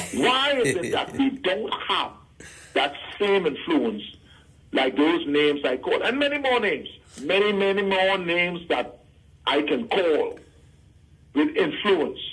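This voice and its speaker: Over noticeable background noise, a man talks at a fairly slow pace in a high voice with very wide pitch swings, very even loudness, and long, frequent pauses. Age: 70s. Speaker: caller. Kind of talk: call-in radio talk. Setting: phone call. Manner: halting.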